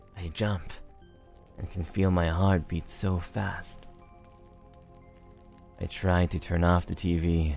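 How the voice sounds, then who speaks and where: A man's very deep, low voice with music in the background. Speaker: virtual streamer / voice actor. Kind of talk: scary story reading, ASMR style.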